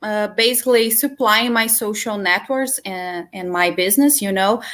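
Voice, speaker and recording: In a Brazilian Portuguese accent, a woman with a fairly high pitch speaks at a fairly slow pace with fairly even intonation. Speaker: journalist, distribution lead. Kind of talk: panel discussion. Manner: halting.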